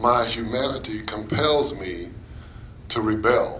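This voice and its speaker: A man with an American accent at a very slow pace, with audible room echo and noticeable background noise. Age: 60s. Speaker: anti-racism presenter. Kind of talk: presentation.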